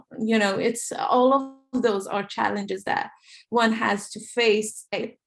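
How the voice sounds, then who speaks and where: Somewhat breathy, a woman speaks at a fairly high pitch. Her pace is fairly slow and her intonation fairly even. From Iran. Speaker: animator. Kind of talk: panel discussion. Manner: halting.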